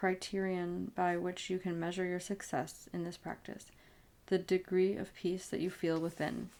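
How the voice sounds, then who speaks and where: This voice is soft-spoken with monotone, flat intonation. The pace is moderate. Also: woman. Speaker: ASMR reader. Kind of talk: audiobook reading of spiritual self-help.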